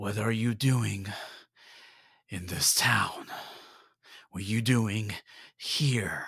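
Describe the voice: Gruff, raspy put-on character voice from a man at medium pitch, very slow pace, and long, frequent pauses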